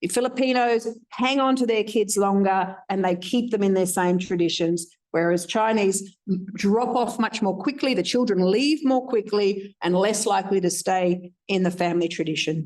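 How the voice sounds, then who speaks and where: At a moderate pace, a woman with a plain, everyday voice speaks at medium pitch, keeping very even loudness and ordinary pitch variation. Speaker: researcher presenting findings. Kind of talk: conference presentation.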